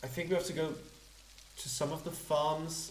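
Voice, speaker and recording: Noticeable background noise is present throughout. Through it, a man's voice can be heard. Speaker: let's play gamer. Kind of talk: casual gameplay commentary.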